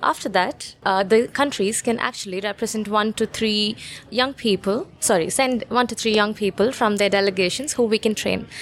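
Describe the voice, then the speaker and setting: Against noticeable background noise, a woman talks at a moderate pace. She has hardly any pauses and fairly even intonation. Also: fairly high pitch for a woman. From India. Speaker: climate entrepreneur. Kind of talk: panel interview. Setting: studio.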